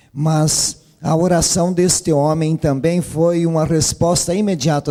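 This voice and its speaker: A man's dark, mellow voice sits at a fairly high pitch. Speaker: preacher. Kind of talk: sermon. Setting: church.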